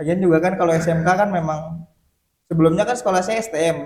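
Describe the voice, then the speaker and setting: A man speaks with a Sundanese accent. His pace is moderate. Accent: Sundanese accent still present. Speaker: podcast guest. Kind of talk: casual interview.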